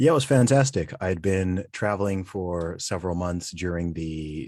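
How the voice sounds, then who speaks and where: Speech comes at a moderate pace with an American accent. Behind it the background is silent on a very clean recording. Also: man. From Saudi Arabia, international school. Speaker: rapper and podcast host. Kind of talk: interview.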